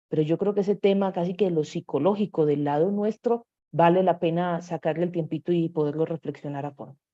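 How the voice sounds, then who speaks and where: Fairly quick and with hardly any pauses, a woman uses a plain, everyday voice at a fairly low pitch with ordinary pitch variation. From Medellín, Colombia. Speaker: course instructor. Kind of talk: online workshop lecture. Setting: live online stream.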